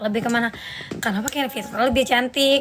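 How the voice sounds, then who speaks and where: Music plays behind a woman with a high pitch. Her intonation is fairly even. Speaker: singer and live streamer. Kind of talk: casual live stream chat.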